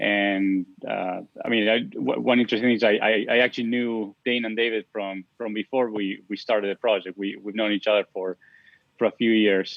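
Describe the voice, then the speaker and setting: With an Argentine accent, a man speaks at a fairly quick pace in a fairly low pitch and a monotone, flat intonation. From Argentina. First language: Spanish. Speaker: software engineer. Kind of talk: interview. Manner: halting, many repetitions.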